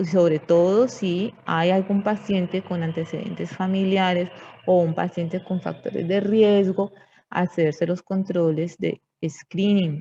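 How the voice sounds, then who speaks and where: Somewhat breathy and dark, mellow in tone, a woman speaks fairly slowly at a medium pitch. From Colombia. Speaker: medical lecturer, physician. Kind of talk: lecture. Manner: halting, with frequent fillers and checks.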